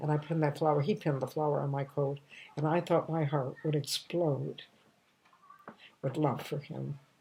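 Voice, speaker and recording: Using a very deep, low voice and monotone, flat intonation, a woman speaks at a moderate pace with long, frequent pauses. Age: 80s+. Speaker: comedian. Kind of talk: storytelling monologue. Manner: warm, nostalgic; halting.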